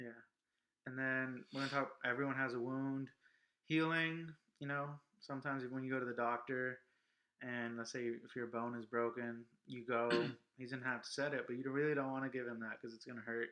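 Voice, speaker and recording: Loud and bright with a sharp edge, a man with an American accent speaks at medium pitch in a monotone, flat delivery, moving at a fairly quick pace but breaking it with long, frequent pauses. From Los Angeles. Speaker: vlog co-host. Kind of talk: casual chat.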